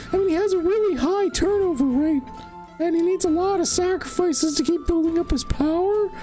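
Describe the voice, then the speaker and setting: Clear music plays in the background as a squeaky, put-on character voice speaks at a moderate pace. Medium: actual play. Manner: rambling, hesitant, filler-heavy.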